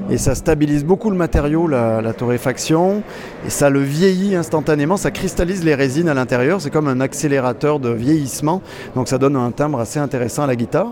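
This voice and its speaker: Over noticeable background noise, a man talks fairly quickly in a fairly high voice. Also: ordinary pitch variation. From France. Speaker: luthier. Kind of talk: trade show interview. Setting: guitar trade show.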